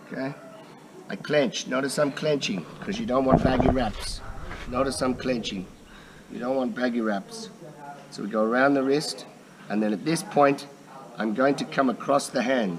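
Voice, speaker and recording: A man with a medium pitch speaks with lively intonation and long, frequent pauses. Noticeable background noise is present. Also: moderate pace. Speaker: muay thai trainer. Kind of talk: tutorial instruction to camera.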